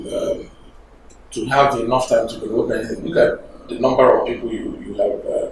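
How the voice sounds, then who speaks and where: A man at a fairly quick pace, with big swings in loudness, audible room echo and noticeable background noise. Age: 60s. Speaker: government official. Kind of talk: TV interview. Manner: halting, many fillers.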